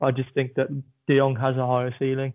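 Speaking at a moderate pace, a man with an English accent has a medium-pitched voice. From England. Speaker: football podcast co-host. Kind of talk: casual chat. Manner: low-energy.

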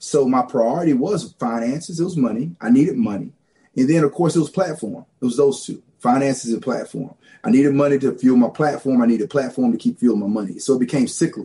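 With a Southern US accent, a man speaks at a very fast pace in a fairly high pitch, his tone dark and mellow and his intonation lively. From rural Louisiana. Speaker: pastor. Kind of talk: testimony.

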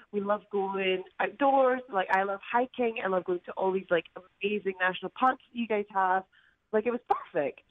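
A woman's medium-pitched voice in a Scottish accent, at a moderate pace with ordinary pitch variation. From Scotland. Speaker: caller. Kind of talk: casual chat. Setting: phone call.

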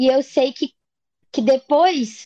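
A woman's high-pitched, dark, mellow voice with ordinary pitch variation, at a very slow pace, dry and close with no echo. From Minas Gerais, Brazil. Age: 20s. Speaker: singer-songwriter. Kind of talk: interview.

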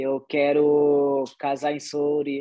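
This is a man speaking. His pitch is fairly high. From Pará, Brazil (Soure, Marajó). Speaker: MMA fighter. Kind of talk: interview.

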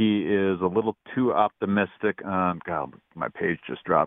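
A man with a very deep, low voice and an American accent. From Wisconsin. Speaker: caller. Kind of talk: casual sports talk call. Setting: phone call.

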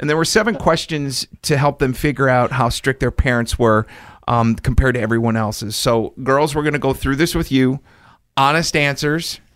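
The recording is very clean, with a silent background. A man speaks in an ordinary speaking voice at medium pitch and a moderate pace, with ordinary pitch variation. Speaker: podcast host.

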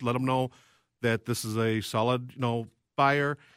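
Here a man speaks in a plain, everyday voice at a medium pitch with fairly even intonation. The recording is very clean with a silent background and a dry, close sound with no echo. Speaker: loan officer. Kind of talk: casual chat. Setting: studio.

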